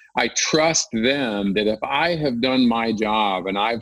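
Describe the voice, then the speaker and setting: Recorded dry and close with no echo, a man has an ordinary speaking voice with medium pitch and ordinary pitch variation. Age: 50s. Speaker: ultra runner, author and keynote speaker. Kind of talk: interview.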